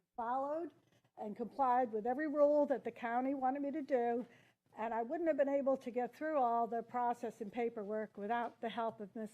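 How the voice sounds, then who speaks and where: Her voice is high-pitched with ordinary pitch variation. The woman keeps a fairly quick pace. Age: 70s. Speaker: public meeting applicant. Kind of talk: public testimony at a hearing. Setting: county board meeting room.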